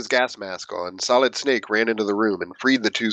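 In plain reading aloud, the pitch shifts in an ordinary way.

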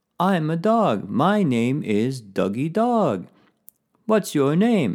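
A man performs a put-on character voice at a fairly high pitch. He goes at a very slow pace with very wide pitch swings. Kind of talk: child-directed, language-teaching. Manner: playful, funny.

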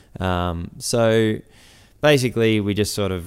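A man with an Australian accent and fairly even intonation, in a very clean recording with a silent background. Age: 20s. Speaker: builder and business owner. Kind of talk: interview. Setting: barn workshop. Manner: hesitant, many fillers.

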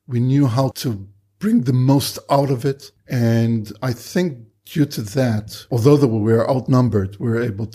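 Speaking at a fairly slow pace, the man has a medium pitch and ordinary pitch variation. His voice is somewhat breathy, with a dark, mellow tone. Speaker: war veteran. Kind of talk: interview testimony.

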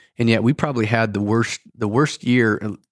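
Medium-pitched male voice with a Midwestern US accent, moderate pace, very clean recording with a silent background. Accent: US Midwest. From Iowa. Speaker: podcast co-host, agronomist. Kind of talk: interview.

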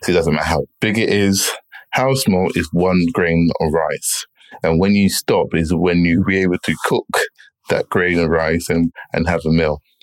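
A man's very deep, low voice at a moderate pace, with very even loudness and fairly even intonation. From England, partly schooled in Jamaica. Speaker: entrepreneur and property investor. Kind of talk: interview.

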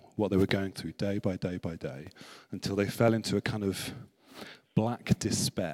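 A fairly low-pitched male voice at a moderate pace, in a dry, close sound with no echo. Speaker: visiting preacher. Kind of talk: sermon. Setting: church with congregation. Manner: talkative.

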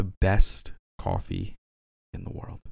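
A man speaks in a monotone, flat intonation. The recording is very clean, with a silent background. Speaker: podcast host. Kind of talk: reading own poems aloud, mock-dramatic and self-deprecating. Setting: studio, solo episode. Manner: jokey, laughing at himself.

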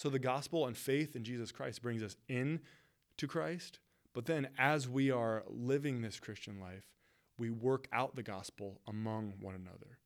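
Someone with an American accent speaks fairly slowly in a normal speaking voice. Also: man. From West Michigan, US. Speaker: pastor. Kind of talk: podcast teaching monologue. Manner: casual, conversational.

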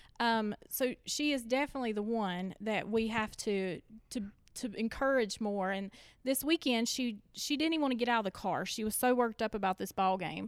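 A woman with a fairly high voice speaks at a moderate pace with ordinary pitch variation. It is an ordinary speaking voice on a very clean recording with a silent background. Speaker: church member and parent. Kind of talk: casual chat.

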